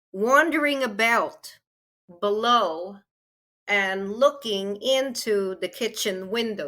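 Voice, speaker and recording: A woman's bright, sharp voice at a very slow pace, with ordinary pitch variation, on a very clean recording over a silent background. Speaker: author. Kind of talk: interview answer, storytelling.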